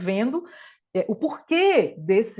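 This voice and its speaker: There's an animated tone to a woman's speech. Very wide pitch swings run through it. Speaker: dentist and lawyer, guest lecturer. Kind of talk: online lecture / study group talk.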